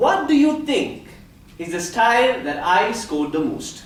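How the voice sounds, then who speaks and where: Loud and fairly slow, a man speaks at an extremely high pitch with very wide pitch swings, and room echo is audible. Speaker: public speaking club member. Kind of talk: prepared speech. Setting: stage with audience. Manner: animated.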